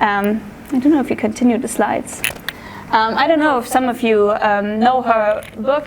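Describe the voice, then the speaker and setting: Over noticeable background noise, a woman with a German accent speaks at a moderate pace, her fairly high pitch held in fairly even intonation. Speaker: art history student intern. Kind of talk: public talk. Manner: halting, many fillers.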